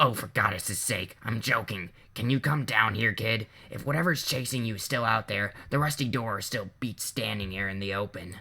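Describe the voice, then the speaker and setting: A man puts on a raspy character voice at a medium pitch. The recording is very clean, with a silent background. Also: moderate pace. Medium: read story. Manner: dry, sardonic.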